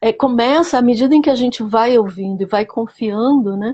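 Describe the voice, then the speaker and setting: A dark, mellow tone carries a somewhat breathy quality. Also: woman. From Rio de Janeiro, Brazil. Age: 60s. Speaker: biographical counselor. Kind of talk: interview.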